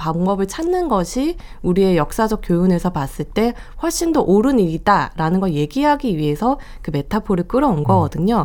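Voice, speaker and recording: A woman's medium-pitched voice at a fairly quick pace with very wide pitch swings. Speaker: film journalist. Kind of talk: radio film review discussion. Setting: radio studio.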